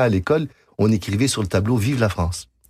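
A man speaks at a fairly quick pace, with medium pitch and ordinary pitch variation. The recording is very clean, with a silent background. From Quebec. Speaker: concert pianist and composer. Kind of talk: radio interview. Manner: halting.

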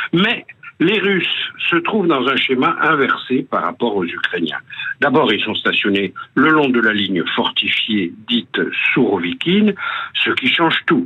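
At a fairly slow pace, a man speaks with very even loudness amid noticeable background noise. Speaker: radio columnist on world affairs. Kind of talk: scripted news commentary. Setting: phone line, stuck in a lift. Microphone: telephone-quality voice.

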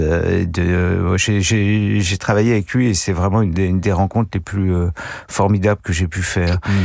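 On a very clean recording with a silent background, a man with a very deep, low pitch talks at a fairly slow pace with fairly even intonation. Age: 60s. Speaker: film critic panelist. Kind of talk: casual chat. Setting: studio.

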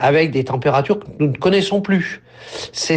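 There is noticeable background noise as a man talks in a high pitch with ordinary pitch variation. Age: 60s. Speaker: farmer. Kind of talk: interview testimony.

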